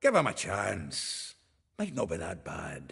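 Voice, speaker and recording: A man uses a put-on character voice that is raspy and fairly low in pitch. He speaks at a fairly slow pace. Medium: video game. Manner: hearty, blunt.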